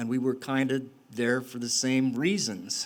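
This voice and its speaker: There is noticeable background noise. A man with an American accent speaks with ordinary pitch variation. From Utah. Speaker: storyteller, former prisoner. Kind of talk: live storytelling performance. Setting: live stage, audience.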